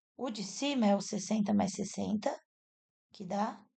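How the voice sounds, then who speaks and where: Soft-spoken and somewhat breathy, a woman with a dark, mellow tone talks at a medium pitch and a fairly slow pace with ordinary pitch variation. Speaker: math teacher. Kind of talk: tutorial.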